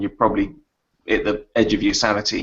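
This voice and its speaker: With an English accent, a man speaks with ordinary pitch variation. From England. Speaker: horror author. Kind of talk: casual chat. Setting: video call. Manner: halting. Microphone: phone, poor quality.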